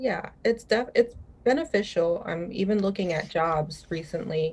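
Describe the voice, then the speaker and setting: At a moderate pace, a woman talks with lively intonation. Her pitch is medium. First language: Spanish. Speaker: journalism student. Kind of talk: panel discussion.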